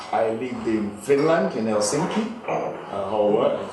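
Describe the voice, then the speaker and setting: The recording has noticeable background noise along with audible room echo. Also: man. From Nigeria (Yoruba). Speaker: business executive. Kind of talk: after-dinner speech. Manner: halting, frequent repetitions.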